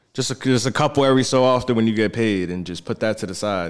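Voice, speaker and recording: Here is a man with an American accent, in an ordinary speaking voice. He talks at a fairly quick pace in a medium pitch with ordinary pitch variation. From New Jersey. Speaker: crypto investor. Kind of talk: casual chat.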